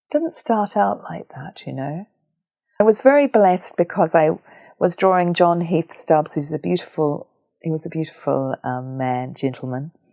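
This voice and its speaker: The voice carries a dark, mellow tone and a New Zealand accent, moving at a moderate pace with lively intonation. Loudness swings widely, and the sound is dry and close with no echo. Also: woman, fairly low pitch for a woman. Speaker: visual artist. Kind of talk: interview conversation. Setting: at her home.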